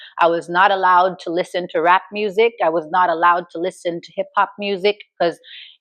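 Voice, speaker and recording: With an American accent and a normal speaking voice, a woman talks at medium pitch and a moderate pace against a quiet background, the sound dry and close with no echo. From New York, Grenadian household. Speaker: talk show host. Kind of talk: personal storytelling monologue. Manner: casual, conversational.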